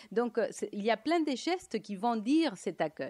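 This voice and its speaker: Against a quiet background, a woman talks at a fairly slow pace. Her fairly high voice moves in very wide pitch swings. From Latin America. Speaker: economist and lecturer; lecturer. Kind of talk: conference talk. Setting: conference with audience. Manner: halting, many hesitations. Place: hall. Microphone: podium.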